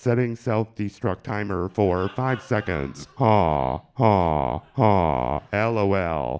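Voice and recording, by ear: A man speaks in a put-on character voice with a fairly low pitch. His pace is very slow, with hardly any pauses.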